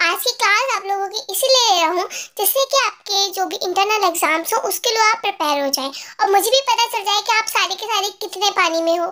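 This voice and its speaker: A put-on character voice at an extremely high pitch races along at a very fast pace with hardly any pauses. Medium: read story. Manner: firm, formal, clipped.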